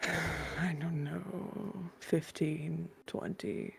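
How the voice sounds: In a put-on character voice, a woman speaks very slowly at a low pitch with fairly even intonation and vocal fry, while faint music plays in the background.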